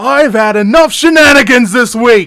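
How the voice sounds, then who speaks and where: A man uses a put-on character voice pitched extremely high, speaking at a moderate pace. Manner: angry.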